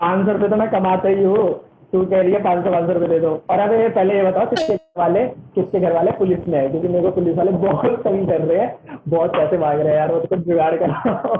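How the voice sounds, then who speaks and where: A man talks with a high pitch, fairly even intonation and very even loudness. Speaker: online tutor. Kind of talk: online class. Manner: fast.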